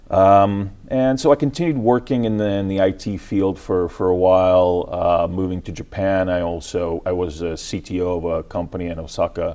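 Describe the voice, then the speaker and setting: With an American accent, a man with a very deep voice speaks at a moderate pace, with ordinary pitch variation and hardly any pauses. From Ukraine, then US from age twelve. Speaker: tech company CEO. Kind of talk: TV interview. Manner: hesitant, many fillers.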